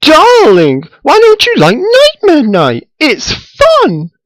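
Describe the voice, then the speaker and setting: A man's put-on character voice, extremely high in pitch and very slow. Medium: read story. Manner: posh, calls others darling.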